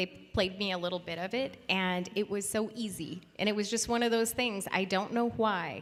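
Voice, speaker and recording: A woman speaks with a bright, sharp tone. Her pace is moderate and her pitch varies in an ordinary way. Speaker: voice actor. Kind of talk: convention panel Q&A.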